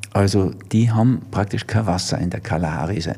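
Very deep and low, a man's somewhat breathy voice carries a dark, mellow tone. He talks at a moderate pace with ordinary pitch variation. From Germany. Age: 70s. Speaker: physician and author. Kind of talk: interview.

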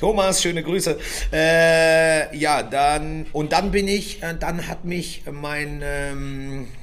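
Audible room echo colors the audio, along with noticeable background noise. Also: man. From Göttingen, Germany. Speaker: chef and restaurant owner, podcast co-host. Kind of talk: casual chat.

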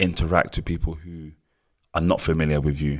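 A man with a London accent speaks in a very deep, low voice with monotone, flat intonation. The recording is very clean, with a silent background. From Cameroon, grew up in London. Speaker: choreographer. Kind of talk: interview.

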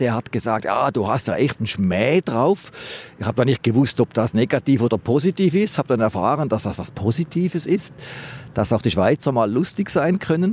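At a fairly quick pace, a man with a medium pitch speaks with very wide pitch swings. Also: dry, close sound with no echo. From Switzerland, Schaffhausen. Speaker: dentist. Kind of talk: street interview. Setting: outdoors by the river.

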